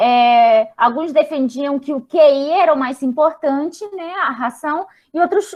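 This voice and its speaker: The speaker is a woman with a high pitch. She takes a fairly slow pace. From Spain. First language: Spanish (speaking Portuguese). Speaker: psychologist. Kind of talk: lecture. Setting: video call. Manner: halting.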